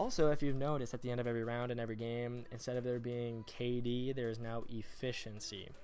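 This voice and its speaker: Quiet and at a very fast pace, a man of medium pitch talks with hardly any pauses and monotone, flat intonation over music in the background. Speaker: gaming commentator. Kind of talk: game commentary voiceover. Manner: monotone, quiet.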